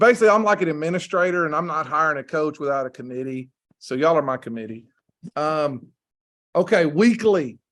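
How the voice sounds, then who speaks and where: Speaking in a Southern US accent, a man talks at a fairly quick pace in a fairly high voice. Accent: US South. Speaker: football coach. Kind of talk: presentation rehearsal.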